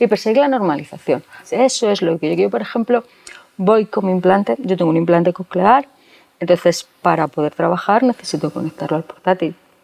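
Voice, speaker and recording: Dry and close with no echo, a woman speaks fairly quickly in a plain, everyday voice at medium pitch, with lively intonation. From Spain, Segovia province. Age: 40s. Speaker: bank employee, deaf with cochlear implant. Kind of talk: interview.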